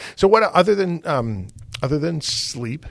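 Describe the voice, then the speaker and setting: With lively intonation, a man speaks at a moderate pace in an unremarkable speaking voice. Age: 50s. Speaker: podcast host. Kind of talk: interview.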